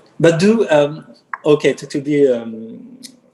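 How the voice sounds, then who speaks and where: The intonation rises and falls in a lively way. Underneath, the tone is dark and mellow. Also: man. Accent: French. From France, Brittany. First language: French. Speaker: engineer. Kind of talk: interview. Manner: halting.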